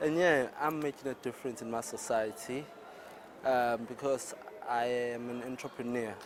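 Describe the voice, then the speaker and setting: A man at medium pitch holds a moderate pace and fairly even intonation against noticeable background noise. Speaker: young entrepreneur interviewed in street vox pop. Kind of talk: vox pop interview.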